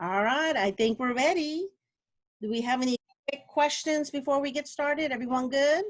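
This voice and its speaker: A woman speaks in a high pitch. The sound is dry with no echo, and the background is quiet. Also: ordinary pitch variation. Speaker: instructional technology specialist leading teacher training. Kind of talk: online training session. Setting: video call. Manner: fast. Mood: friendly, organized. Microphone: video call.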